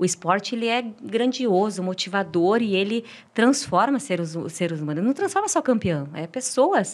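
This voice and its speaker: With an unremarkable speaking voice, a woman talks at a moderate pace, her medium pitch carried by lively intonation. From Brazil, interior of Paraná. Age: 40s. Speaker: marathon runner. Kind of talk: podcast interview. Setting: studio.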